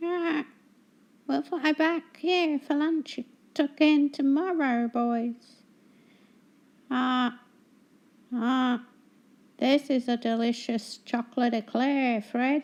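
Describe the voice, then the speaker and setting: A put-on character voice, female-sounding and high-pitched, at a very slow pace with long, frequent pauses. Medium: read story.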